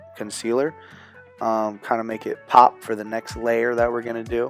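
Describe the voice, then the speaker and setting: A man's medium-pitched voice at a fairly quick pace, with music in the background. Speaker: cousin doing the voiceover. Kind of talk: casual improvised voiceover commentary. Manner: joking, casual, playful.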